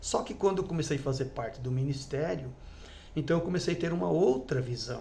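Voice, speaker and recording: A man's somewhat breathy voice, dark and mellow in tone, at a moderate pace with audible room echo. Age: 60s. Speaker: former church elder. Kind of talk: testimony. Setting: at home with wife present. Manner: halting.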